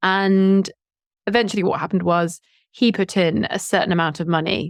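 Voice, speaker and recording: On a very clean recording with a silent background, a woman with a Southern English accent speaks at a medium pitch with fairly even intonation. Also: dry, close sound with no echo. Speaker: YouTube English teacher and entrepreneur. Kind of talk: podcast interview.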